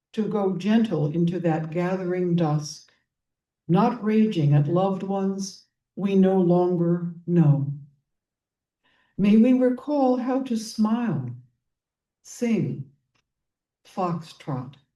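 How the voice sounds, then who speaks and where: A woman of medium pitch has a dark, mellow tone and lively intonation. She speaks very slowly with long, frequent pauses, and room echo is audible. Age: 80s+. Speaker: poet. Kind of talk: poetry reading.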